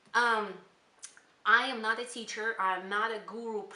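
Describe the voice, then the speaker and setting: A woman is speaking, and audible room echo surrounds her voice. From Kyrgyzstan. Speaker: spiritual channel creator. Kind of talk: casual channel introduction monologue. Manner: hesitant, many fillers.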